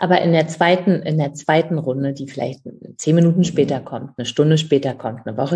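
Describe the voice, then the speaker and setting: This woman's voice has a very deep, low pitch and a dark, mellow tone, somewhat breathy, delivered at a moderate pace. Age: 50s. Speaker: author, speaker and coach. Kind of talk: interview.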